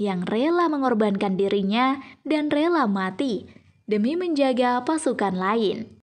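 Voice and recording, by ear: With lively intonation, the delivery unfolds at a fairly slow pace. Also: woman.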